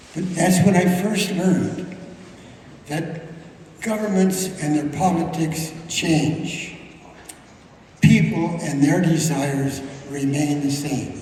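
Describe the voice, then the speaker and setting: Pausing long and often, a man speaks at a very slow pace with fairly high pitch and fairly even intonation, and the room echo is audible. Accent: American. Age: 90s. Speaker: war veteran. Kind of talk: speech. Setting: museum. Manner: halting.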